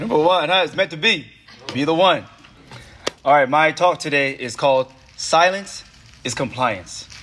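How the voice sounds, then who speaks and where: Over noticeable background noise, a man with an American accent and a fairly high pitch speaks at a moderate pace, using ordinary pitch variation and long, frequent pauses. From US West Coast, Oakland. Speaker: poet. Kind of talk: spoken word speech.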